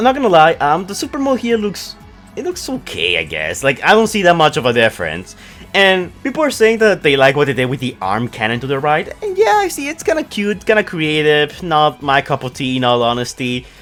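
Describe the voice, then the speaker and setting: A man speaks fairly quickly while music plays behind him. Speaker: toy and movie news YouTuber. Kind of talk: casual talk to camera.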